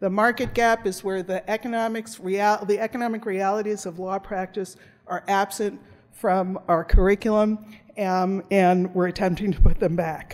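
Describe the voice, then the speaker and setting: A woman at a medium pitch with a normal speaking voice, moderate pace and fairly even intonation. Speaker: law professor. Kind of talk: conference presentation.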